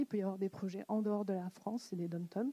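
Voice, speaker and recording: Dry and close with no echo, a woman's dark, mellow tone carries fairly even intonation. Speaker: conference co-host. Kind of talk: event announcement. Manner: fast.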